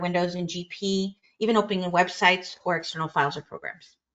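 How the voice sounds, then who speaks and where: At a fairly quick pace, a woman talks in an unremarkable speaking voice, fairly low in pitch, with fairly even intonation. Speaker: software trainer. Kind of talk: webinar discussion.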